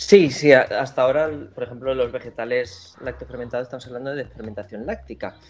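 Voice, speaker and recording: A man talks in an ordinary speaking voice at a medium pitch and a fairly quick pace, with ordinary pitch variation and big swings in loudness. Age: 30s. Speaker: fermented foods specialist. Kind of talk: interview.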